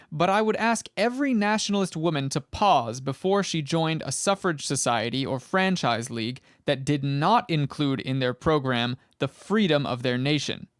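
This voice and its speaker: Here is a man with an ordinary speaking voice, fairly high in pitch with lively intonation, talking at a moderate pace with hardly any pauses. The recording is very clean, with a silent background and a dry, close sound with no echo. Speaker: audiobook reader. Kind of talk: historical speech reading.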